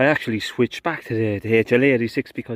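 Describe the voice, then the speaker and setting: A man with an Irish accent at a very fast pace, in a dry, close sound with no echo. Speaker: gardener. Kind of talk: work vlog narration. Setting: outdoors.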